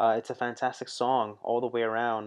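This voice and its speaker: A man at a moderate pace over a quiet background. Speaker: music reaction youtuber. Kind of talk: casual reaction commentary. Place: studio. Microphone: studio mic.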